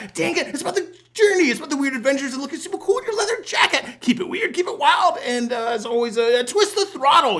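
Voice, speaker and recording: This is a put-on character voice with a high pitch. It races along at a very fast pace. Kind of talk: cheerful sign-off. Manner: sweet, cutesy, theatrical.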